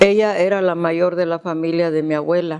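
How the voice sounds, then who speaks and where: Dark and mellow in tone, the voice varies its pitch in an ordinary way. Its pace is moderate. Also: woman. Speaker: grandmother recounting her life story. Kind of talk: interview answer recalling childhood memories. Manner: hesitant, conversational, with repeated words.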